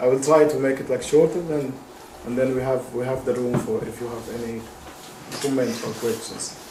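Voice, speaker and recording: Fairly even intonation in a Sudanese accent comes through amid noticeable background noise and audible room echo. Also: man. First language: Arabic. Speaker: activist, lecturer. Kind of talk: lecture. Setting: stage with audience. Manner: halting.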